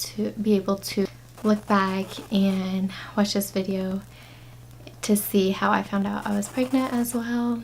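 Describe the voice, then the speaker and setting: A soft-spoken woman at a medium pitch, with fairly even intonation, a moderate pace and long, frequent pauses. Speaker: vlogger and young mom. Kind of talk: story time vlog.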